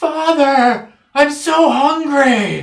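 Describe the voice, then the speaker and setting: A shouted, high-pitched put-on character voice. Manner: screaming.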